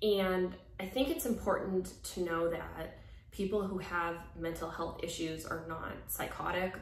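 A woman's fairly low pitch and fairly even intonation, with audible room echo. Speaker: YouTuber and former reality TV cast member. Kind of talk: personal confessional vlog. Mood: earnest, serious, a bit emotional. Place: home room. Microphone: phone near.

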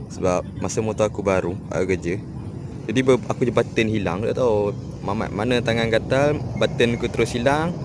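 A man speaks at a fairly quick pace with ordinary pitch variation. There is noticeable background noise, and the sound is dry with no echo. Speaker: motorbike owner vlogger. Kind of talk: casual vlog chat. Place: street. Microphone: phone near.

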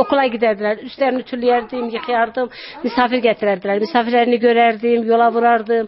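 A woman with a high pitch talks fairly quickly and with fairly even intonation, light background noise behind her. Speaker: village housewife. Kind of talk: casual interview chat. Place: farm machine. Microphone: handheld.

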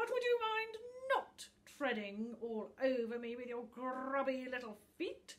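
A high-pitched woman in a put-on character voice at a fairly slow pace. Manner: complaining, indignant.

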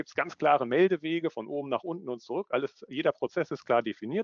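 Very fast speech with lively intonation, in a dry sound with no echo and a quiet background. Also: man. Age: 30s. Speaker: management consultant, business psychologist. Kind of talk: online conference presentation. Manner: animated. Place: home room. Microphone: headset.

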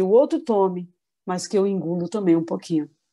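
A woman's voice with a dark, mellow tone comes through a very clean recording with a silent background. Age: 50s. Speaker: spiritist lecturer. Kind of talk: religious talk.

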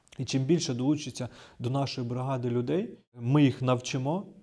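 The background stays quiet. A man's voice comes through with a dark, mellow tone. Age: 30s. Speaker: military intelligence officer. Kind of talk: interview; interview answer. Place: empty room. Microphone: lapel.

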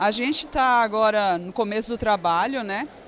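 Against loud background noise, a woman talks at a fairly slow pace in a dry sound with no echo. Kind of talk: interview answer. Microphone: handheld.

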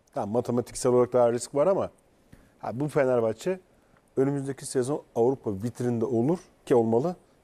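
This man has a dark, mellow tone. He talks at a fairly quick pace. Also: ordinary pitch variation. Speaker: football pundit. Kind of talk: casual chat. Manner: animated. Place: studio. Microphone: lapel.

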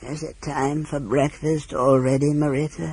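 Someone puts on a husky character voice pitched low to middle. The pace is moderate.

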